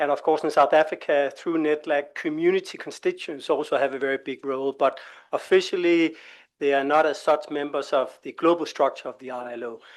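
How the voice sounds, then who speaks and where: The speech moves at a fairly quick pace with big swings in loudness against a quiet background. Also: man. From Denmark. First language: Danish. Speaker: labour organisation expert presenter. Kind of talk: presentation at a workshop. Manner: hesitant, with many fillers.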